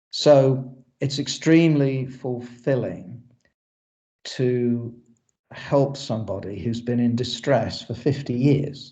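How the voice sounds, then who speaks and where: A man with an English accent speaks very slowly in a dark, mellow, somewhat breathy voice of medium pitch, with audible room echo. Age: 60s. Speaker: exhumation specialist. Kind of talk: lecture.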